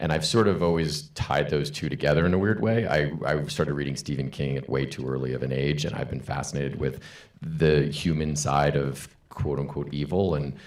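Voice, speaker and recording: Marked by vocal fry, a man with a very deep, low voice talks at a fairly quick pace with ordinary pitch variation amid audible room echo. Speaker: panelist, screenwriter. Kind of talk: panel discussion. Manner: loud.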